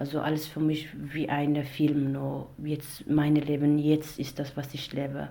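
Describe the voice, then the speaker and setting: A woman with a very deep, low pitch speaks in a monotone, flat way. Her pace is very slow, and the room echo is audible. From Iraq. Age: 20s. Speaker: domestic violence survivor, author and actress. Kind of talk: testimony. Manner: halting.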